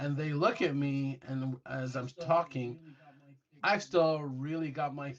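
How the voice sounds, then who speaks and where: A man speaks in an American accent at a fairly high pitch. He goes at a fairly slow pace with ordinary pitch variation. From England. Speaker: retired air force intelligence analyst. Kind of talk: storytelling in casual interview. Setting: studio. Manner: animated.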